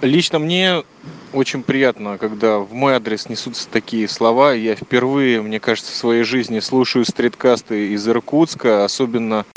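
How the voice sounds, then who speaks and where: Noticeable background noise surrounds a man speaking at a fairly slow pace with ordinary pitch variation. The sound is dry and close, with no echo. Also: medium pitch for a man. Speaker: podcaster. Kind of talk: voice message monologue. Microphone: smartphone.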